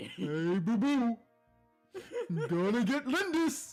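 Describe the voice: A put-on character voice, fairly high in pitch with very wide pitch swings, goes at a very slow pace over faint music in the background.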